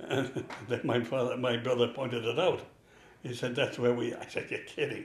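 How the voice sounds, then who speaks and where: A man's medium-pitched voice with a New York accent at a fairly quick pace, with noticeable background noise and audible room echo. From New York City, Manhattan. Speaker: religious brother. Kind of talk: interview. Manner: conversational.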